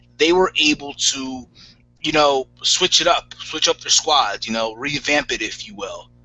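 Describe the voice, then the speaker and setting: Over music in the background, a man with a fairly high pitch talks at a fairly slow pace, his loudness swinging widely. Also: ordinary pitch variation. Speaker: wrestling podcast host. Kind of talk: casual chat. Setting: live video hangout. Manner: stutters, self-admitted.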